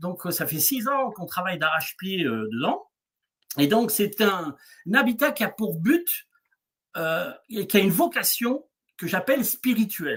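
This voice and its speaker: A man with a high pitch talks fairly slowly, leaving long, frequent pauses, with very wide pitch swings and big swings in loudness. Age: 60s. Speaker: eco-hamlet founder and therapist. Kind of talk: interview on a livestream. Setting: video livestream. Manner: halting, many fillers.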